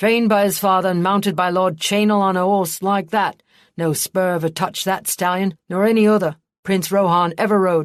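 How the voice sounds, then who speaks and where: Growling and gruff, a female-sounding put-on character voice at middle pitch rattles along at a fairly quick pace. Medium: read story. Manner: growling, gruff.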